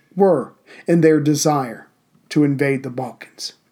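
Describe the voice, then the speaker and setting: The speaker has a normal speaking voice, moving at a fairly slow pace with fairly even intonation. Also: man. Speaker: podcast host. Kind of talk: history documentary narration, scripted. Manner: measured, formal; steady, authoritative storytelling pace.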